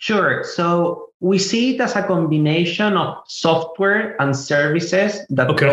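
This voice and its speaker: A man speaks at a high pitch with ordinary pitch variation. His pace is fairly slow, with hardly any pauses and very even loudness. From Chile. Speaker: tech startup co-founder. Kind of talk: interview.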